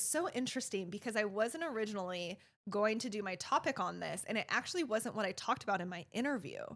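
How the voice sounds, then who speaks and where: An ordinary speaking voice from a woman, fairly high-pitched, with lively intonation, a fairly quick pace and hardly any pauses, on a very clean recording with a silent background. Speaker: nurse practitioner. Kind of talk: casual chat.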